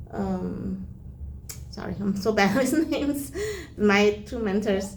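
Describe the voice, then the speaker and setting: A woman speaks very slowly, her voice carrying audible room echo. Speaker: volunteer. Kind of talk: difficult one-on-one conversation. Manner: halting.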